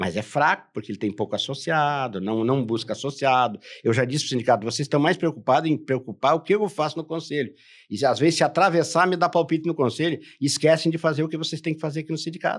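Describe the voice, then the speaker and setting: On a very clean recording with a silent background, a man talks at a very fast pace in a fairly high pitch with lively intonation. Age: 70s. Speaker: professional council president, retired dispatcher. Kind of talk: podcast interview. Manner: emphatic, repetitive.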